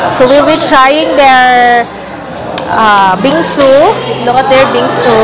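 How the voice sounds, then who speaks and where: Clear music plays in the background as a woman speaks at a very slow pace. She uses ordinary pitch variation. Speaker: food vlogger. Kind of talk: casual vlog chat. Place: cafe. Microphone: lapel.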